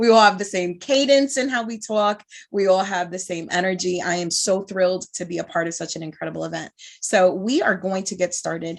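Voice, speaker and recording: A woman with a Bronx accent talks at a fairly quick pace with ordinary pitch variation. Her loudness swings a lot. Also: medium pitch for a woman. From New York (Bronx). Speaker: moderator, speaker and trainer. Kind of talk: panel moderation.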